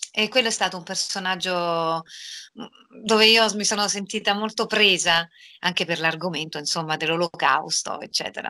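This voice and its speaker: Over a quiet background, a woman with a bright, sharp tone speaks at a moderate pace with ordinary pitch variation and long, frequent pauses. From Rome, Italy; Italy. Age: 40s. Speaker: voice actress. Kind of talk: interview.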